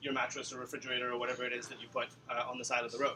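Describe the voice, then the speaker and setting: Noticeable background noise surrounds a man who speaks at a very fast pace. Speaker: data analyst. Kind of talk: presentation.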